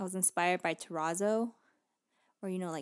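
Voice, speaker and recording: Silent background and a very clean recording of a woman. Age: 20s. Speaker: podcast co-host, new parent. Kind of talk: casual chat.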